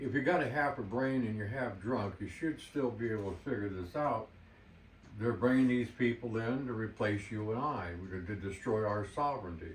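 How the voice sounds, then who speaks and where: With an American accent, a man speaks at a medium pitch in a somewhat breathy voice, with audible room echo around him. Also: ordinary pitch variation, moderate pace. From United States. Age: 70s. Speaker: martial arts instructor. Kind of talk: monologue, advice vlog. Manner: animated.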